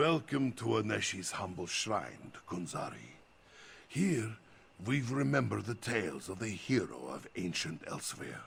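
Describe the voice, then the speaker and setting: At a moderate pace, a man does a put-on character voice at a fairly low pitch. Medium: video game. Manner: speaks of himself in third person.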